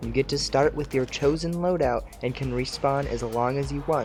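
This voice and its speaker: With music in the background, the speech moves along at a moderate pace. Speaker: gaming tutorial creator. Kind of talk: scripted tutorial narration.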